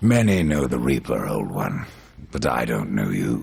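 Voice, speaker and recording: Putting on a character voice, a man speaks raspy and very deep and low, with lively intonation at a moderate pace. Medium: video game. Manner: terse, cold, sardonic.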